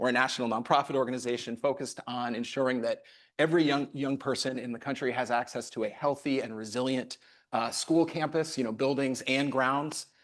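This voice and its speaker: Against a quiet background, a man with a normal speaking voice and medium pitch talks at a fairly quick pace in a fairly even intonation. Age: 50s. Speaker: nonprofit CEO. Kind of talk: panel discussion.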